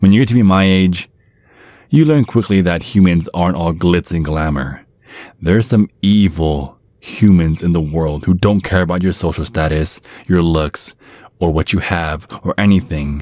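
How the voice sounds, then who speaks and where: A man puts on a gruff character voice with a very deep, low pitch. He speaks at a moderate pace. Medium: solo performance. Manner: gruff, blunt.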